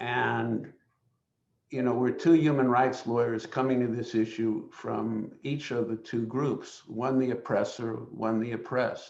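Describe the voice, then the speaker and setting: With audible room echo, a man speaks at a fairly slow pace in a medium pitch and a flat, monotone intonation. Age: 70s. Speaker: human rights lawyer, webinar panelist. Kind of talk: panel discussion. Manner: halting, many fillers.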